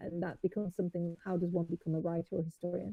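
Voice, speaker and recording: Speaking very fast, a woman with an English Midlands accent uses a medium pitch. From England, Nottinghamshire. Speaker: historian and author. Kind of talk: interview chat. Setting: live stream.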